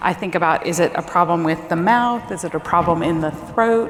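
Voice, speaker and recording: This woman's voice sits fairly low in pitch. Noticeable background noise and audible room echo are present. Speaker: speech language pathologist. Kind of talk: conference presentation. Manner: informal.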